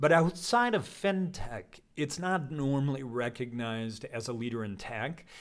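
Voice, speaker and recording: A man with an American accent and medium pitch talks at a fairly slow pace with lively intonation and hardly any pauses, a normal speaking voice. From Colorado. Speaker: podcast host. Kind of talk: interview conversation. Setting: event with live audience.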